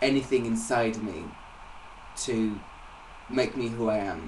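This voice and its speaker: There is audible room echo and noticeable background noise. A man talks at a medium pitch. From England. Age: 20s. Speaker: singer-songwriter. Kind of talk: interview. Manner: halting.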